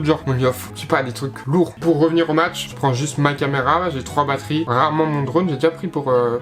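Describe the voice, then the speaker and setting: Noticeable background noise behind a man talking fairly quickly, his pitch fairly high and varying in an ordinary way. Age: 20s. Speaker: YouTuber and American football player. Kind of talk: casual talk to camera. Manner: relaxed, casual.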